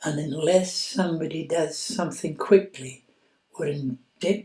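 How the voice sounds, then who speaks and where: A man with a Scottish Highland accent talks at a fairly slow pace, his voice pitched high with ordinary pitch variation. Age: 80s+. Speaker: patient's widower sharing experience. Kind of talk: personal testimony.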